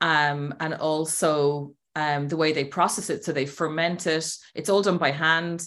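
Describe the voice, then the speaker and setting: In an Irish accent, a woman speaks at a very slow pace with a very deep, low pitch and monotone, flat intonation. The recording is very clean with a silent background. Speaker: healer and women's empowerment mentor. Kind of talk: casual interview chat.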